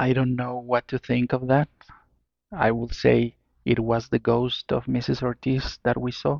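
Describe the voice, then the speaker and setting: A man with a Spanish accent, medium in pitch and fairly slow, in a monotone, flat intonation. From Mexico. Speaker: listener telling own ghost story. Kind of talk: personal storytelling. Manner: halting.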